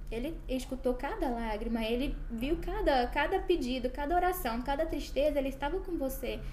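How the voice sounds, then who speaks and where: Speaking with hardly any pauses, a woman uses a high pitch and lively intonation over noticeable background noise. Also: moderate pace. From Brazil, Goiás. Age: 20s. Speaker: medical student sharing faith testimony. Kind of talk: testimony.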